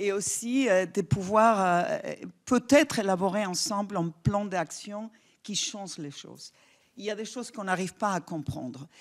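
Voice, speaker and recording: The speaker is a woman with a non-native accent. She talks at a fairly slow pace. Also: medium pitch for a woman, lively intonation, big swings in loudness. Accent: foreign accent in French. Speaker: public health official. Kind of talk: conference talk. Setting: stage with audience. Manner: hesitant, many fillers.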